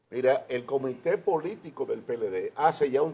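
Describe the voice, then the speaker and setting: A man speaks with lively intonation in a dark, mellow tone. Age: 70s. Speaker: politician. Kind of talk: TV interview.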